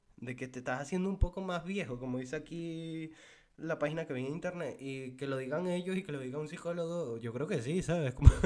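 Music plays in the background as a man speaks at a fairly quick pace. His pitch is fairly high with ordinary variation. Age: 20s. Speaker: podcaster. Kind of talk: casual solo podcast monologue. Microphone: mic too far at first.

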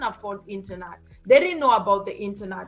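Over noticeable background noise, the speech runs at a fairly quick pace with lively intonation. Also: woman. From Kenya. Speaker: crypto entrepreneur. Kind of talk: interview. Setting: video call.

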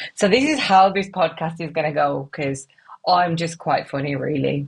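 A woman's somewhat breathy voice, very deep and low in pitch for a woman, at a fairly quick pace. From West Midlands, England (Wolverhampton). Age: 30s. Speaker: podcast host. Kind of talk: casual solo monologue. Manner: animated.

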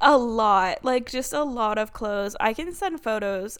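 Ordinary pitch variation in a woman's speech. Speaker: book podcast co-host. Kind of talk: casual chat. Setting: video call. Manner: loud.

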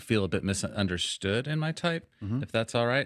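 The recording is very clean, with a silent background. A man speaks at a moderate pace with lively intonation. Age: 40s. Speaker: Enneagram consultant. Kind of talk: casual interview.

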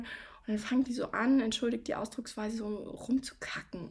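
The woman's pitch sits fairly high, and her pace is moderate. Her tone is warm and somewhat breathy. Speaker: coach and podcast host. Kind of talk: advice podcast monologue. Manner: warm, direct address to listener.

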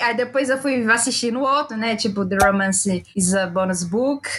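The speaker talks at a fairly slow pace with ordinary pitch variation. Noticeable background noise runs underneath. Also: woman. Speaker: podcast co-host. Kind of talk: casual chat. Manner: animated.

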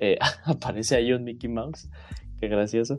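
A man at a fairly quick pace, with lively intonation and a Mexican accent. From Mexico. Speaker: podcast co-host. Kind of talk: casual chat.

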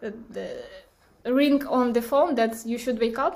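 A woman's high-pitched voice in a Ukrainian accent. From Ukraine, Kyiv. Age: 20s. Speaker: war refugee. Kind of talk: interview testimony. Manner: halting.

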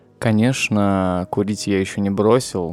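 Music plays in the background. Over it, a man talks at a fairly low pitch. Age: 20s. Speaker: podcaster. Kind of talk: personal monologue.

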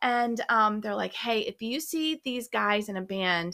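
A woman with a Southern US accent, on a very clean recording with a silent background. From US South, mostly Georgia. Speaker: guest, host's mother. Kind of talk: personal testimony.

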